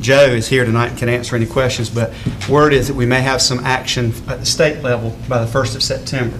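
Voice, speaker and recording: A man races along at a very fast pace in a flat monotone, light background noise behind him. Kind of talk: meeting report. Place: meeting room. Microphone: podium.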